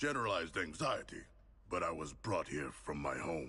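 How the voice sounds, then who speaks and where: The put-on character voice is raspy and moves at a moderate pace. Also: man. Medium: video game. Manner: polite, formal, deadpan.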